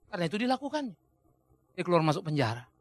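A man speaks in a raised, projected voice with an animated tone and very wide pitch swings. His tone is bright and sharp, and the background is quiet. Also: dry sound with no echo. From Indonesia. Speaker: pastor. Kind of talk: sermon. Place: studio. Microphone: lapel.

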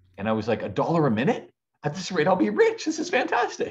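In a quiet background, a man speaks very fast with vocal fry. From Ontario, Canada. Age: 40s. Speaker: podcast guest, speaker. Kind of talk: casual interview. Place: home room. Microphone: video call.

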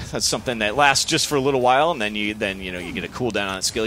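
A man with a fairly low pitch and lively intonation, plus noticeable background noise. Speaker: game developer. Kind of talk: gameplay demo interview. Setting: studio. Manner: halting.

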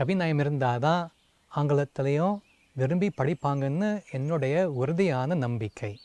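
A man's fairly high voice with a dark, mellow tone, ordinary pitch variation, and a dry, close sound with no echo. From US, Seattle. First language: English (speaking Tamil). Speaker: translator and Tamil scholar. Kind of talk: prepared video greeting.

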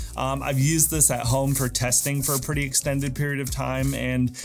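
Faint music plays in the background. A man speaks at a fairly quick pace with very even loudness. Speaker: gear reviewer. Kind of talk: product review talk to camera. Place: home room.

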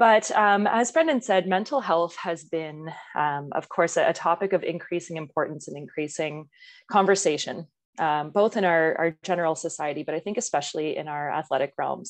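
The background is quiet as a woman speaks at a moderate pace. Her voice is fairly low, with ordinary pitch variation. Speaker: guest. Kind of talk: presentation talk. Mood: friendly, smiling. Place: home room. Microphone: earbuds.

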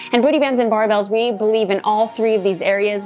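With faint music in the background, a woman speaks very fast and with fairly even intonation. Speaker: fitness coach. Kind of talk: tutorial. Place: home room.

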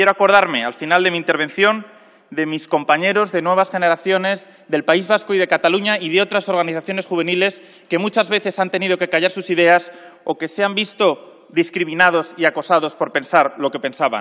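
A man's high-pitched voice at a fairly quick pace, with fairly even intonation over a quiet background. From Spain. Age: 30s. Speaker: politician. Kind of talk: parliamentary speech. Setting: parliament chamber. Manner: formal. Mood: combative, ironic. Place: hall. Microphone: podium.

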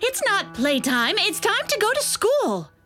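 A woman puts on a cartoonish character voice at an extremely high pitch, bright and sharp in tone, with very wide pitch swings. She speaks fairly slowly over faint music in the background.

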